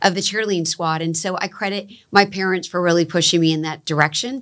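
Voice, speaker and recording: Bright and sharp in tone, a woman with a medium-pitched voice and an American accent talks at a very fast pace. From Florida, Palm Beach County. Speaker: economic development agency executive. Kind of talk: interview.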